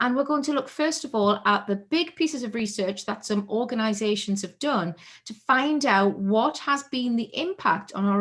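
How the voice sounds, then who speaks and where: Delivered at a moderate pace, the voice is somewhat breathy with lively intonation. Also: woman. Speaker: keynote speaker. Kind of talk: conference keynote talk.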